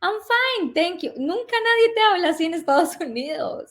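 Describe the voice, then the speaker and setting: A woman speaks in a Colombian accent with lively intonation. Her pace is moderate. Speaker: relocation consultant. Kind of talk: interview.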